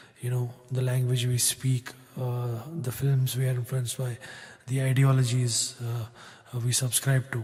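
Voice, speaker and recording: In a Kashmiri accent, a man speaks at medium pitch. His intonation is monotone and flat. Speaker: singer-songwriter. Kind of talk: spoken introduction between songs. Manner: halting, many fillers.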